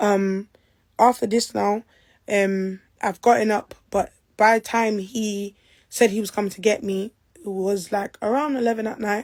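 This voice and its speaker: In a London accent, a woman at medium pitch speaks with fairly even intonation but big swings in loudness, captured in a very clean recording with a silent background. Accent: London Multicultural English. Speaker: person making allegations. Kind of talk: personal testimony. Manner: fast.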